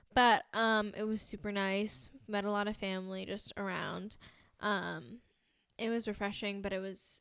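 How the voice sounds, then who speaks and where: In a very clean recording with a silent background, a woman with an American accent uses a normal speaking voice at medium pitch, with fairly even intonation and a moderate pace. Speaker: podcast co-host. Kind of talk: casual chat. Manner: casual, filler-heavy.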